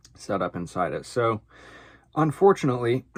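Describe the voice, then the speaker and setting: With ordinary pitch variation, the man talks at a moderate pace while the background stays quiet. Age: 20s. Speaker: woodworker and swim coach. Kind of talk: casual vlog monologue. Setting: basement boiler room workshop. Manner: unscripted, many filler words.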